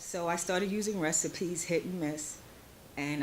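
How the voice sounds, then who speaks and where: A woman speaks at a moderate pace with a very deep, low pitch. Her pitch varies in an ordinary way, and there is audible room echo. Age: 60s. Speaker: small business owner presenting at expo. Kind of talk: pitch presentation at expo. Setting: stage at expo event. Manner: halting.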